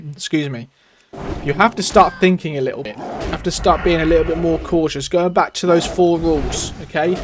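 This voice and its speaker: A man with a high voice and ordinary pitch variation talks fairly quickly against noticeable background noise. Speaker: gaming YouTuber. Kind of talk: gameplay commentary. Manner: stutters and stumbles.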